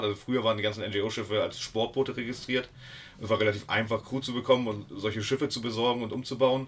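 A man's very fast speech in a monotone, flat intonation. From Hamburg, northern Germany. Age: 40s. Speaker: sea rescue activist. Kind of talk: interview.

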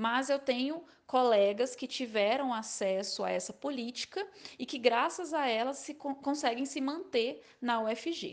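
A woman speaks high in pitch with lively intonation. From Maranhão, northeastern Brazil. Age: 20s. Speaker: social work student. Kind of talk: testimony.

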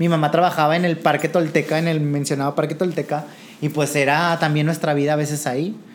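A man's fairly high, monotone voice, flat in intonation and very fast, over noticeable background noise. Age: 20s. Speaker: drag performer. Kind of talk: casual interview.

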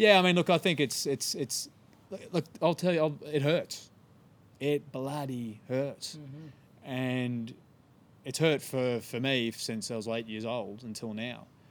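A man speaks with an Australian accent at a fairly slow pace. His pitch varies in an ordinary way. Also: medium pitch for a man. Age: 30s. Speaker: environmental campaigner. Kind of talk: casual interview.

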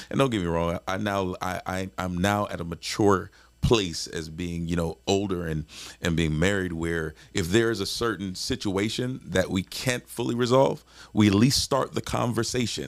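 A man speaks at a moderate pace with a very deep, low voice and ordinary pitch variation. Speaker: married couple podcast host. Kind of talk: casual conversation, relationship advice. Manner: talkative, animated.

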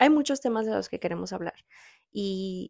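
In an unremarkable speaking voice at medium pitch, a woman talks at a moderate pace with ordinary pitch variation, her sound dry and close with no echo on a very clean recording with a silent background. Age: 20s. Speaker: podcast host. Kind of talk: casual chat.

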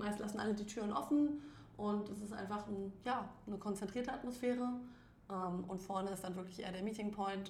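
A woman at a medium pitch and fairly quick pace, with noticeable background noise and audible room echo. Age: young. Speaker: coworking space founder. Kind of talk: casual chat.

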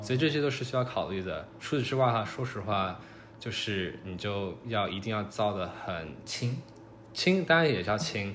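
Here a man with an ordinary speaking voice speaks at a moderate pace, his fairly low pitch carried by lively intonation. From China, Shanghai. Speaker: engineering student. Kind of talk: casual chat.

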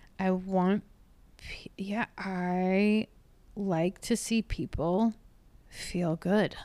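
A woman speaks at a very slow pace with long, frequent pauses, very even loudness, medium pitch and fairly even intonation. The sound is dry and close with no echo, on a very clean recording with a silent background. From Louisville, Kentucky. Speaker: stand-up comedian. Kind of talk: casual interview.

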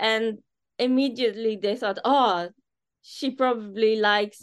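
A woman with a plain, everyday voice speaks at a fairly slow pace. Her pitch varies in an ordinary way. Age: 40s. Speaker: business founder. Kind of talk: interview.

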